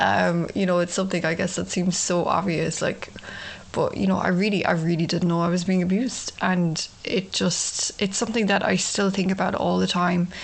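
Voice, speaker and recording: With an Irish accent, the speaker holds monotone, flat intonation and very even loudness at a moderate pace, over noticeable background noise. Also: woman, fairly low pitch for a woman. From Ireland. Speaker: podcast host, abuse survivor. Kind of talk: personal testimony monologue. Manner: casual, many fillers.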